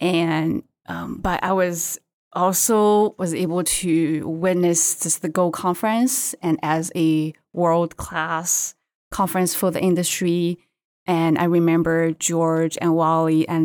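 A woman with a Chinese accent speaks at a very slow pace with a fairly low pitch and fairly even intonation, on a very clean recording with a silent background and a dry, close sound with no echo. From China. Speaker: seafood market development manager. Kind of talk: interview. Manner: halting.

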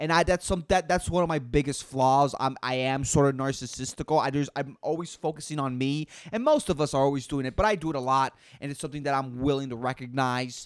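A man with a fairly high pitch speaks at a very fast pace in an animated tone. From Puerto Rico. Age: 20s. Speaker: podcast host. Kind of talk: casual solo rant. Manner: animated, profane; occasional stuttering.

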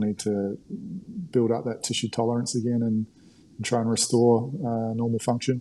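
This man's voice has a medium pitch and a dark, mellow tone. His pace is moderate and his intonation fairly even. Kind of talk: casual interview, educational. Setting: video call.

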